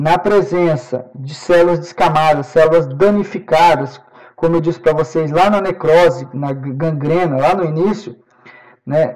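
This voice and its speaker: Here is a man with an ordinary speaking voice and a fairly high pitch. His pitch variation is ordinary, and his pace is fairly slow. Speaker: professor. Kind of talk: lecture.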